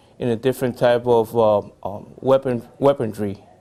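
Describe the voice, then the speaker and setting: Over noticeable background noise, a man at medium pitch speaks with monotone, flat intonation. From Puerto Rico. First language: Spanish. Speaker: army veteran. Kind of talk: interview. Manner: halting, many fillers.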